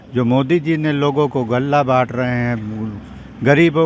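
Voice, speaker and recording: A man with a fairly high voice keeps his intonation fairly even amid noticeable background noise. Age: 70s. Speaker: local resident interviewed on the street. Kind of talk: street interview.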